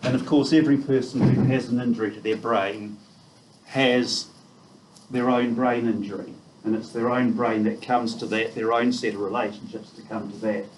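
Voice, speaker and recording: A man's medium-pitched voice in a New Zealand accent, at a moderate pace with fairly even intonation, amid audible room echo and noticeable background noise. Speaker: neuropsychiatrist giving a talk. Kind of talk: lecture. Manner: loud. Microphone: quiet at first, not using a microphone.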